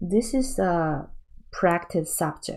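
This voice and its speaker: With a Chinese accent, a woman speaks in a fairly low voice with ordinary pitch variation. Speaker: painting teacher. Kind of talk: tutorial. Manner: halting.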